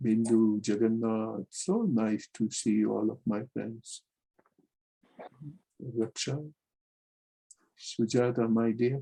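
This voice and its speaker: A man's medium-pitched, dark, mellow voice, fairly even in intonation, at a very slow pace with long, frequent pauses, in a dry, close sound with no echo. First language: not English. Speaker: spiritual teacher. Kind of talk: lecture.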